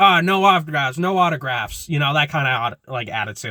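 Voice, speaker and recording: Here a man speaks with a fairly high pitch and a bright, sharp tone. His intonation is lively, and the recording is very clean with a silent background. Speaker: YouTuber commentator. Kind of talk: casual vlog commentary. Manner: halting, self-described stuttering.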